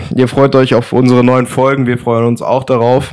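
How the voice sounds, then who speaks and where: Here a man talks with a medium pitch. His pace is moderate. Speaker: podcast co-host. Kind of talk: casual chat.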